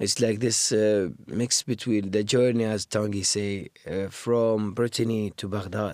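A man with an Iraqi accent and a fairly low pitch, at a very slow pace. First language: Arabic. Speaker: musician and actor. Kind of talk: interview conversation.

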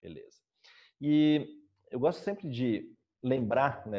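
At a fairly slow pace, a man speaks in a dark, mellow tone with ordinary pitch variation against a quiet background. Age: 40s. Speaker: meditation teacher giving a talk. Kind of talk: lecture. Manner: halting.

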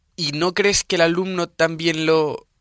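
A man with a bright, sharp tone and monotone, flat intonation, in a dry, close sound with no echo. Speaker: student radio host. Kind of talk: radio interview.

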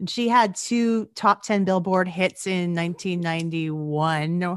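In a Canadian accent, a woman speaks in a normal speaking voice at a fairly slow pace. Her pitch is fairly low, and the background is quiet. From Alberta, Canada (Gibbons). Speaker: podcast co-host. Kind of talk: casual chat.

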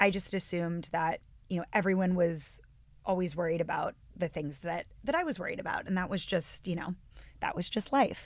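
A woman's plain, everyday voice with an American accent, medium pitch, ordinary pitch variation and a fairly quick pace. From northwestern Pennsylvania. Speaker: yoga and meditation teacher. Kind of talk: casual chat.

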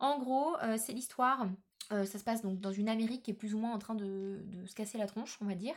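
With an animated tone, a woman speaks at a fairly quick pace. Her pitch is fairly high, with ordinary variation. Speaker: book podcaster. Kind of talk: casual monologue.

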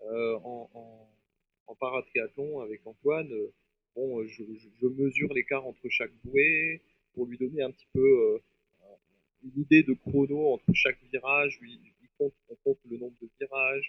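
Pausing long and often, a man with a fairly high pitch keeps a fairly even intonation while his loudness swings widely. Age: 40s. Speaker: triathlete and paratriathlon guide. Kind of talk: interview.

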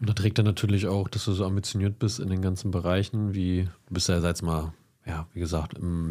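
A man speaks at a fairly quick pace with fairly low pitch, a dark, mellow tone and fairly even intonation. The recording is very clean, with a silent background. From Lower Saxony, Germany. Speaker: podcast co-host. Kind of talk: casual interview.

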